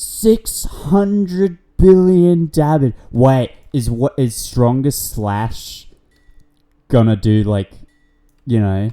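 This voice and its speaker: Over music in the background, a man with a fairly high pitch speaks at a very slow pace, using very wide pitch swings and long, frequent pauses. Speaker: gaming youtuber. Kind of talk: gameplay commentary. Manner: loud, shouting; animated.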